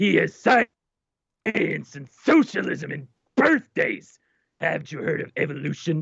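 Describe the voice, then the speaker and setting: A man speaks in a put-on character voice. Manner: curt, dismissive.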